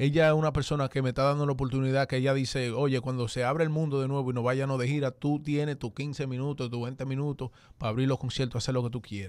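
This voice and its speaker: Speaking very fast with hardly any pauses, a man delivers his words in a monotone, flat intonation at a medium pitch, recorded with a dry sound with no echo against a quiet background. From Dominican-born, raised in the US. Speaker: urban music artist; guest. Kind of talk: radio interview. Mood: warm, grateful. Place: studio. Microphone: studio mic.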